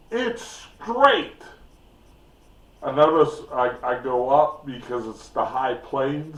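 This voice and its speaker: Very wide pitch swings mark this man's very slow delivery. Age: 60s. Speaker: YouTube storyteller. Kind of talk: casual storytelling.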